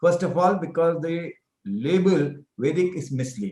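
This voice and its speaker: A man speaks with an Indian accent. His pitch varies in an ordinary way. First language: Hindi. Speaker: professor. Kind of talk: interview.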